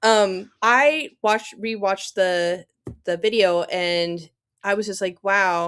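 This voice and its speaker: At a medium pitch, a woman speaks at a very slow pace. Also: ordinary pitch variation. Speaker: author. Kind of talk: casual chat. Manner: stutters, fills with um.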